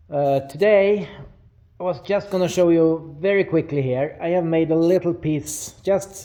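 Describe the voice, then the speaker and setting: A man speaks very slowly with a Swedish accent. His pitch is fairly high, with ordinary variation. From Sweden. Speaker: metal fabricator. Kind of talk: tutorial. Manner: hesitant with many fillers.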